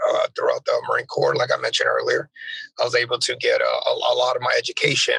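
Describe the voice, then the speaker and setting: At a fairly quick pace, a man with an extremely high pitch and a bright, sharp tone projects a raised voice with fairly even intonation, the sound dry and close with no echo. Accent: American. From Texas. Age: 30s. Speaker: Marine drill instructor. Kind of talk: interview. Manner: halting.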